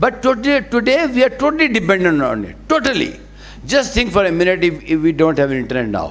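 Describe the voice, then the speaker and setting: This man talks fairly quickly at a high pitch, his pitch swinging very widely. The room echo is audible and background noise is noticeable. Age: 70s. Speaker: conference speaker. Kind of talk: conference speech. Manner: emphatic, repetitive.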